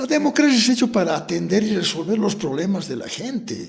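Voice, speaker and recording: Amid noticeable background noise and audible room echo, a high-pitched man talks at a fairly quick pace with very wide pitch swings. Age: 70s. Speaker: politician. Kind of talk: interview.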